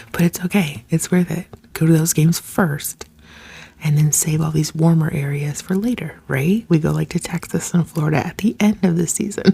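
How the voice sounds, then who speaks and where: A woman whispers at a moderate pace. Noticeable background noise is present. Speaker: ASMR creator. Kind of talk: ASMR chit chat. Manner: whispered.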